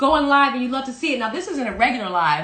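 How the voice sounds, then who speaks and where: A woman speaks in a raised, projected voice with a high pitch. Noticeable background noise is present. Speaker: parody news anchor. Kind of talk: casual comedic parody news talk.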